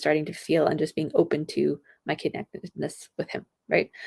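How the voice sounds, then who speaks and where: Soft-spoken and very deep in pitch, a woman talks with vocal fry in a dry, close sound with no echo. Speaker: health podcast host. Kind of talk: solo podcast monologue. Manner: animated.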